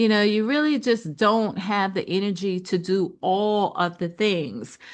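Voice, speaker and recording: Against a quiet background, a woman with a plain, everyday voice speaks at a fairly slow pace, her medium pitch showing ordinary pitch variation. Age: 60s. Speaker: business coach. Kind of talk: webinar presentation. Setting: online presentation with slides. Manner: conversational, lots of fillers.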